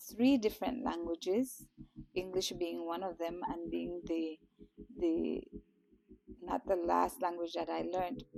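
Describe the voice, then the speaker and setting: In a Guatemalan accent, a woman speaks at a fairly slow pace with long, frequent pauses. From Belize, Toledo area. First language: Kekchi. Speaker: teacher. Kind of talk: interview. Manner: halting, with fillers.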